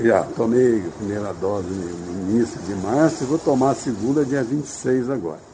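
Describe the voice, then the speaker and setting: Lively intonation marks this man's speech, delivered at a moderate pace with hardly any pauses and a medium pitch. Noticeable background noise runs underneath. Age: 80s+. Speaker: retired bar owner. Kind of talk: radio interview.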